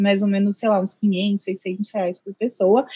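This is a woman speaking. Her pace is moderate. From Indaiatuba, São Paulo interior, Brazil. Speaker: engineering student. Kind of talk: casual interview.

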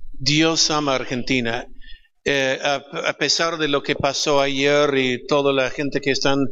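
A man with an English accent, very slow and with monotone, flat intonation. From California, US. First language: English (speaking Spanish). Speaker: pastor. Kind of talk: panel discussion.

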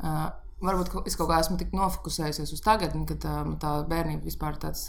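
This woman is heard amid noticeable background noise, with audible room echo around her. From Riga, Latvia. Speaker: pastry chef. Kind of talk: casual chat.

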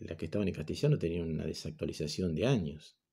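A man talks at a moderate pace in a very deep, low pitch. His tone is dark and mellow, and somewhat breathy. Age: 50s. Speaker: teacher. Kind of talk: recorded online class lecture. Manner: halting, many fillers and repetitions.

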